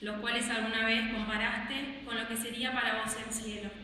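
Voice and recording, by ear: A woman speaks at a moderate pace with a fairly high pitch and little pitch movement. Her tone is bright and sharp, and the room echoes strongly.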